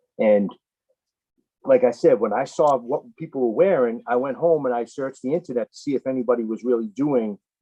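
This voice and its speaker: A man with a northeastern US accent, medium-pitched, at a fairly quick pace with ordinary pitch variation. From Boston, US Northeast. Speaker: RC apparel business owner. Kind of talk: casual interview.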